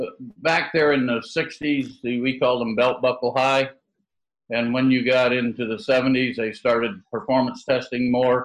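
This man talks at a medium pitch with monotone, flat intonation. His pace is fairly slow, in an American accent. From US Midwest, Michigan. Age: 60s. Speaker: association executive director, cattle industry. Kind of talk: casual interview.

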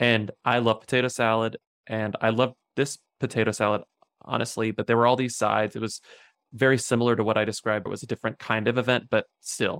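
Talking at a very fast pace, a man with an American accent keeps a medium pitch and a flat, monotone intonation in a dry, close sound with no echo. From Texas, southwest of San Antonio. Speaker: novelist and podcast co-host. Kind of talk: casual interview. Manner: laughs often.

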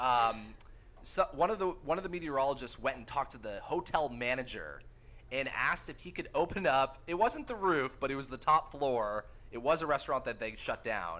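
This man's fairly high voice has a bright, sharp tone and vocal fry. He talks fairly quickly with lively intonation and big swings in loudness. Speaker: meteorologist and podcast host. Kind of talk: casual chat.

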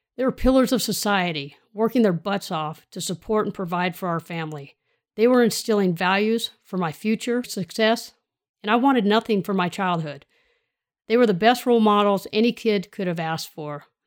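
This woman has a Californian accent, a medium pitch, a moderate pace and ordinary pitch variation. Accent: Californian American. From US West Coast, Sacramento area, California. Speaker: podcast host and leadership coach, retired law enforcement officer. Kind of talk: monologue, personal story and motivational talk.

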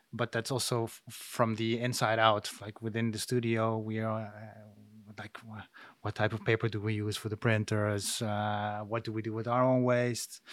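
On a very clean recording with a silent background, a man at medium pitch speaks at a moderate pace in a monotone, flat way. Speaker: architectural model maker. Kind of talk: casual interview. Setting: studio. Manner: halting.

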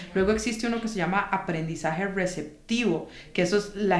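A woman talks with ordinary pitch variation. Audible room echo and noticeable background noise come through. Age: 30s. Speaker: podcast co-host, consultant. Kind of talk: casual chat.

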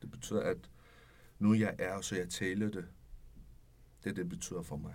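A man at a fairly slow pace, with vocal fry. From Iran. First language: Persian (speaking Danish). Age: 30s. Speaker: refugee, home care worker. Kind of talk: interview. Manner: halting.

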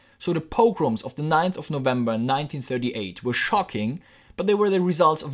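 Fairly high-pitched man with a German accent and lively intonation, moderate pace, on a very clean recording with a silent background. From Germany. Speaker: podcast host. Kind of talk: scripted narration.

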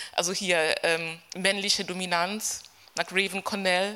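Her intonation is monotone and flat. The woman's pitch sits at a medium level. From Kenya. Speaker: gender studies professor. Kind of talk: panel discussion. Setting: stage with audience.

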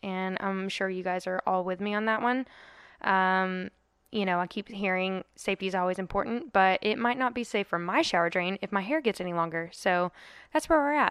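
A woman's medium-pitched voice with a dry, close sound and no echo. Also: ordinary pitch variation, fairly quick pace. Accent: Southern US. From US South. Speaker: podcast host. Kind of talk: casual interview.

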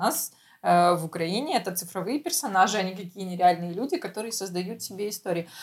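The voice is somewhat breathy, with ordinary pitch variation. It moves at a very fast pace. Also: woman. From Ukraine. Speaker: podcast co-host. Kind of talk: casual chat.

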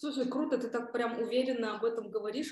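A woman's fairly high-pitched, ordinary speaking voice with fairly even intonation. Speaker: podcast host. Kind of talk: casual interview chat.

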